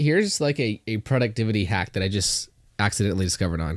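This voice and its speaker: A man with an American accent at a very fast pace and fairly low pitch, in a very clean recording with a silent background. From Northwest Arkansas, US South. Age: young, 19. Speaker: young entrepreneur and realtor. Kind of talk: casual podcast interview.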